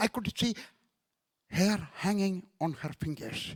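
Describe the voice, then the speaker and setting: A man with an Indian accent speaks at a very slow pace in a high voice with ordinary pitch variation. The sound is dry and close, with no echo. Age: 70s. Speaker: evangelist preacher. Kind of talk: sermon.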